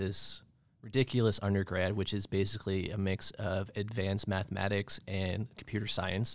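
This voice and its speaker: Over a very clean recording with a silent background, a man talks at a moderate pace in a fairly low pitch with monotone, flat intonation. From Maine, US (Bar Harbor). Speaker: marketing professional. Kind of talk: casual chat. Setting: studio.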